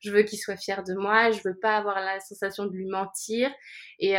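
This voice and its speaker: The recording is very clean with a silent background. A woman speaks at a fairly quick pace in a monotone, flat intonation. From France. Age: 30s. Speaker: life coach and yoga teacher. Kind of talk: casual interview.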